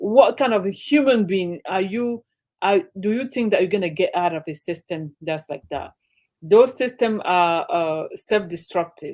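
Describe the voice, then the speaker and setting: With an African accent, a woman talks at a medium pitch and a fairly slow pace. Her intonation is lively. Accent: African accent, often mistaken for Jamaican. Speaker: livestream guest. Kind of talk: casual chat. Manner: animated.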